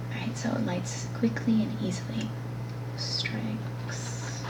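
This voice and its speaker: Noticeable background noise runs under the recording. A woman speaks in a very deep, low pitch. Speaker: ASMR creator. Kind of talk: ASMR talk to camera. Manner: soft-spoken, casual, chatty.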